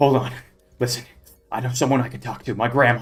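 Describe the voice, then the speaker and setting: A man's put-on character voice, medium in pitch, at a very fast pace with a nervous tone. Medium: actual play. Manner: fast, nervous.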